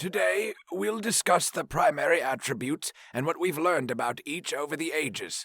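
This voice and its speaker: In a put-on character voice, the speaker goes at a moderate pace with hardly any pauses, the sound dry and close with no echo. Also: man, high pitch for a man. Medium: read story. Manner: dry, stern, lecturing.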